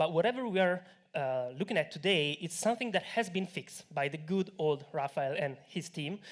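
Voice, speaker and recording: A man with a high-pitched voice talks at a fairly quick pace, his intonation lively. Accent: Italian. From Italy. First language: Italian. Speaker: tech company co-founder. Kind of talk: conference talk. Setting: stage with audience.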